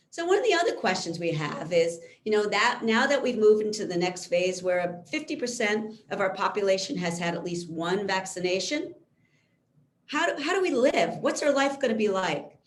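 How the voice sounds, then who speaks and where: In a room with audible echo, a woman at medium pitch speaks at a moderate pace, her pitch swinging very widely. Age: 60s. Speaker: physician. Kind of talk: lecture.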